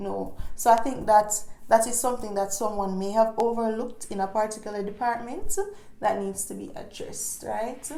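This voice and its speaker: Against noticeable background noise, a woman with a fairly high pitch speaks at a moderate pace in a monotone, flat intonation, with big swings in loudness. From Jamaica. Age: 20s. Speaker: travel vlogger. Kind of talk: casual talk to camera.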